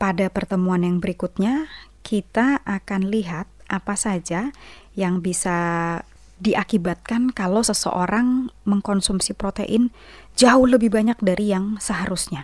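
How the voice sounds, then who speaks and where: A woman speaks in a normal speaking voice at a medium pitch with ordinary pitch variation. The recording is very clean with a silent background, its sound dry and close with no echo. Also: fairly slow pace. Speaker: radio health program presenter. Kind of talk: educational talk on health. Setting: studio. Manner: explanatory, conversational.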